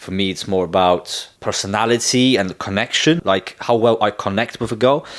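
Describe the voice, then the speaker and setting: A man speaks at medium pitch with a British accent. His pace is moderate. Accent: British-sounding English. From Poland, then England from age twelve. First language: Polish. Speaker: dating content creator. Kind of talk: casual vlog talk. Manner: casual, filler-heavy.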